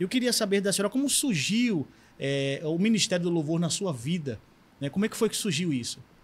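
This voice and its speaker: This man's high-pitched voice makes very wide pitch swings as he talks at a fairly quick pace. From Northeast Brazil. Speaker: pastor and podcast host; pastor, podcast host. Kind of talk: interview. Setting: studio. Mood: warm, respectful, curious. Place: studio. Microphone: studio mic.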